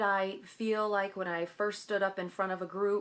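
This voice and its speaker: This woman has an ordinary speaking voice at a medium pitch. She speaks at a moderate pace. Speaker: direct sales director. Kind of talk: tutorial. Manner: casual, with fillers.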